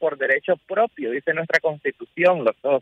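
A man with a Nicaraguan accent speaks at a high pitch. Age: 20s. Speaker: exiled journalist and activist. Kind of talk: radio interview.

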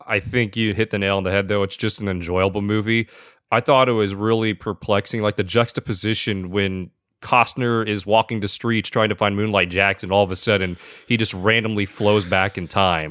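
A man speaks fairly quickly in a plain, everyday voice at fairly low pitch. His intonation is fairly even, the sound dry and close with no echo, and the background quiet. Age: 20s. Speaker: podcast producer. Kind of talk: casual chat.

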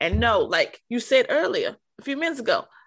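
Moderate-paced speech from a woman, set against a quiet background. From New York, Harlem. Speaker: podcast host. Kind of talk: casual interview.

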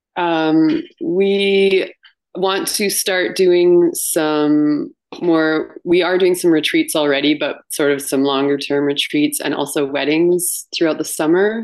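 A woman in a western Canadian accent, fairly low in pitch, with ordinary pitch variation and a very slow pace. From Canada, British Columbia and Banff, Alberta. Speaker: retreat owner. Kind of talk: interview.

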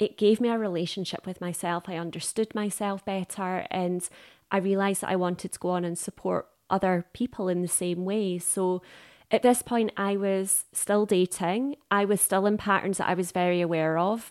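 A woman with a plain, everyday voice at a medium pitch, moderate in pace and fairly even in intonation, in a very clean recording with a silent background and a dry, close sound with no echo. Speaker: dating coach. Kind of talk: interview.

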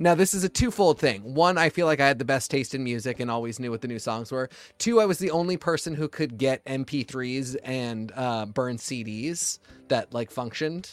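A man speaks at medium pitch and a moderate pace in a normal speaking voice, with lively intonation. The sound is dry and close with no echo, very clean over a silent background. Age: 30s. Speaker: podcast co-host. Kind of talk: casual chat.

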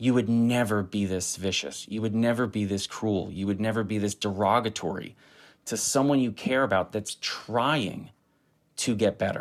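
A man has an unremarkable speaking voice with fairly low pitch and fairly even intonation. He talks at a moderate pace on a very clean recording with a silent background. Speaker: running coach. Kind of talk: interview. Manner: motivational, encouraging.

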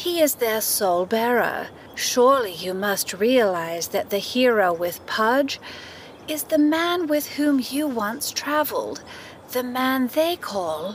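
A woman's high, sing-song put-on character voice with a warm tone, at a fairly slow pace, over clear background noise. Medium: audio drama. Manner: sing-song, speaks in rhyme, mystical; warm, fussy like a nanny.

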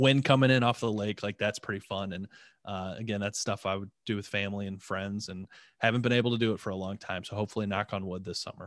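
A man with a Midwestern American accent, fairly low pitch, fairly even intonation and a very fast pace, in a dry, close sound with no echo and a quiet background. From northeastern Ohio. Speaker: nonprofit innovation group president. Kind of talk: casual interview.

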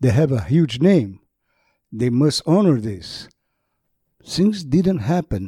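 A man with a Portuguese accent speaks in a dark, mellow, somewhat breathy voice, with very wide pitch swings and long, frequent pauses. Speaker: motorsport journalist. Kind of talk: interview.

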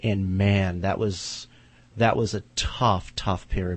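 This man's voice is very deep and low, and somewhat breathy. His intonation stays flat and monotone. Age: 30s. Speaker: horror writer. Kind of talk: casual chat. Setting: studio.

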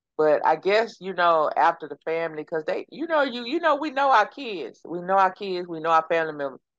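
A woman with a Texas accent speaks at a fairly low pitch, the sound dry and close with no echo. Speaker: podcast co-host. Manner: conversational storyteller.

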